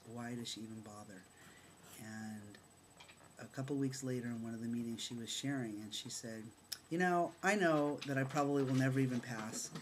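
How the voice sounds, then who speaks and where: Audible room echo surrounds a man of medium pitch whose loudness swings widely. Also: ordinary pitch variation, fairly quick pace. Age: 40s. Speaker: vlogger. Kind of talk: personal vlog testimony. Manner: animated.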